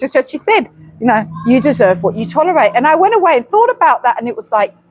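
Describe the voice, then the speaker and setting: Over noticeable background noise, the voice swings very widely in pitch at a very fast pace. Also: woman. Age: 50s. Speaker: co-host of a faith chat channel. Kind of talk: casual chat. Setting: outdoors.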